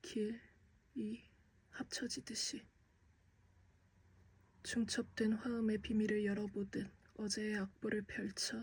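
Somewhat breathy, the voice holds fairly even intonation. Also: woman. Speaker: aspiring actor. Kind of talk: poetry reading.

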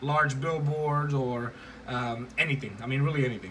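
Light background noise behind a man speaking at a moderate pace. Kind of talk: tutorial. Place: home room. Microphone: phone near.

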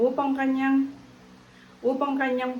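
Moderate pace from a woman with a somewhat breathy voice. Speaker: Bible study co-host. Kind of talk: Bible study lesson. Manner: formal.

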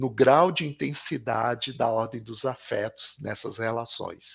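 Against a quiet background, a man's voice comes through somewhat breathy. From Belo Horizonte, Minas Gerais, Brazil. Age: 50s. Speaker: professor and visual artist. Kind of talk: interview.

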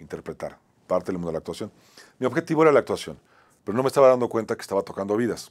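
A man talks very fast with very wide pitch swings and vocal fry. Long, frequent pauses break up his speech over a quiet background. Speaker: talk show host and actor; talk show host, actor. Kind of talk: motivational monologue. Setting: studio. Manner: halting, repetitive. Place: studio. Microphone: lapel.

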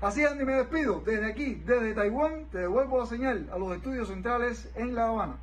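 A man talks at a fairly quick pace in an extremely high pitch, with ordinary pitch variation and hardly any pauses. Light background noise can be heard. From Cuba. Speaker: sports reporter. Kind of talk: live remote news report. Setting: remote link from abroad. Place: home room.

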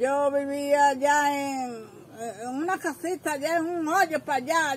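Over light background noise, a woman speaks at a high pitch with ordinary pitch variation. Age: old. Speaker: grandmother being interviewed. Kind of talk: interview answer. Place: home room. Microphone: handheld.

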